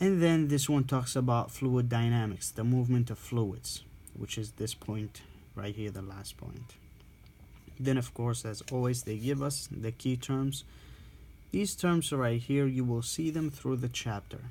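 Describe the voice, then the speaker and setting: A man's medium-pitched voice, dark, mellow and somewhat breathy, at a fairly slow pace with ordinary pitch variation. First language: not English. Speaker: respiratory therapy student tutor. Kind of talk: reading aloud and explaining a textbook. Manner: halting, with self-corrections.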